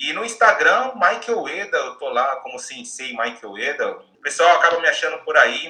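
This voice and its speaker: A man talks at a moderate pace with hardly any pauses, his loudness swinging widely. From Bahia, Brazil. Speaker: career coach. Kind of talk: casual chat.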